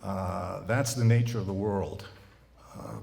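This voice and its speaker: A man with an American accent talks at a fairly slow pace in a fairly low pitch, somewhat breathy. Room echo is audible. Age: 70s. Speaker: college president. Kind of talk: speech to clergy. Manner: halting.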